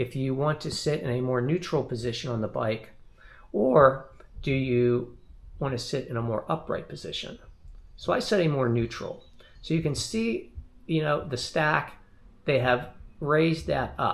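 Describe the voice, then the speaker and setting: A man's fairly high, somewhat breathy voice moves at a moderate pace with ordinary pitch variation. His speech has long, frequent pauses. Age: 60s. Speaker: cycling video creator. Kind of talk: tutorial. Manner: casual, conversational.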